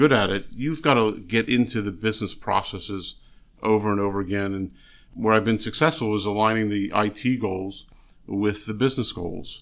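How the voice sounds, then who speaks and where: An ordinary speaking voice with an American accent against a quiet background. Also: man. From Philadelphia area, US. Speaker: state environmental agency official. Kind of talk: interview.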